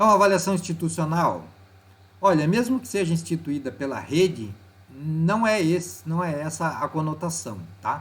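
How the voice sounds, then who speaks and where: A man with a plain, everyday voice talks at a moderate pace. His pitch is fairly high and his intonation is lively. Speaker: teacher. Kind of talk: tutorial. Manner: casual.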